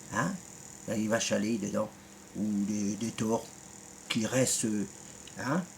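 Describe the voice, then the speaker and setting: A man speaks at a fairly slow pace with long, frequent pauses, his pitch fairly low and its variation ordinary. Noticeable background noise runs under his voice. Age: 50s. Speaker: YouTuber. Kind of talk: rant video reply. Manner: animated; halting.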